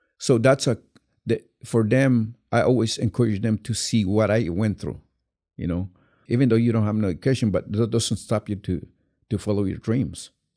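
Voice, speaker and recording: Heard against a silent background in a very clean recording, a man with a Guatemalan accent talks at a moderate pace, his medium-pitched voice dark and mellow with fairly even intonation. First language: Q'anjob'al Mayan. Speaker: actor. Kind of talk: interview. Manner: halting, many repetitions.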